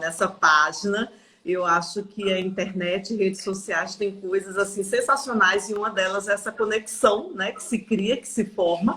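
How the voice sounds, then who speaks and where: Speaking with a Paraíba accent, a woman keeps a fairly slow pace and fairly even intonation. Noticeable background noise sits behind her. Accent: Northeastern Brazilian (Paraíba). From Brazil, Paraíba (Northeast). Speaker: oil industry manager. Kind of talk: podcast interview. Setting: live stream.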